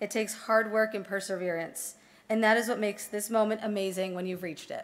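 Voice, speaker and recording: The woman's pace is very fast. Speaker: speaker. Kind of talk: formal ceremony address. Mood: formal, earnest. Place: hall.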